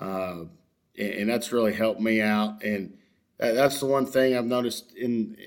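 A man with a Texan accent at medium pitch, moderate pace and fairly even intonation. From Texas, West Houston. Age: 30s. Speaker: high school baseball coach. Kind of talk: casual interview chat. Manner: halting, many fillers.

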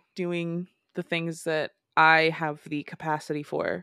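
A woman with an ordinary speaking voice and fairly low pitch talks with fairly even intonation in a very clean recording with a silent background and a dry, close sound with no echo. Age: 20s. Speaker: podcast co-host. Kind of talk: casual chat.

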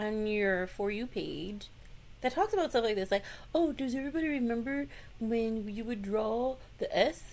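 A woman with a high pitch speaks in an animated tone with ordinary pitch variation. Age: 40s. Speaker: podcast co-host. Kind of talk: casual chat.

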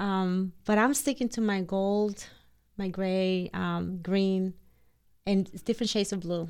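A woman speaks very slowly with a Spanish accent and fairly even intonation. The recording is very clean, with a silent background. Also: medium pitch for a woman. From Dominican Republic. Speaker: interior designer. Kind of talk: casual interview chat.

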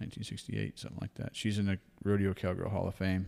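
A man speaks with a Texan accent. His pitch is very deep and low. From Texas Hill Country. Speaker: wildlife capture and hunting guide. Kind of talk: casual chat.

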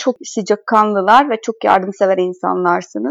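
With a Hungarian accent, a woman speaks at a moderate pace and ordinary pitch variation, the sound dry and close with no echo. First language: Hungarian (speaking Turkish). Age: 20s. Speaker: former exchange student, translator. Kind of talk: casual interview.

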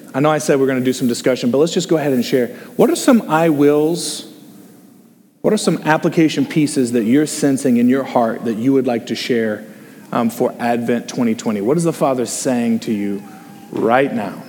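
A man with a medium pitch and ordinary pitch variation speaks at a moderate pace over noticeable background noise. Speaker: associate pastor. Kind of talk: sermon with group discussion. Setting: church with online stream. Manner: informal, humorous.

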